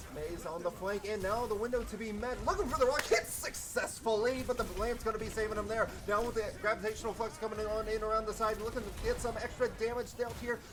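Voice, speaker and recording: Noticeable background noise accompanies a voice that moves at a very fast pace. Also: hardly any pauses. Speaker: esports caster. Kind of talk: live commentary. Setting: live stream. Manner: animated.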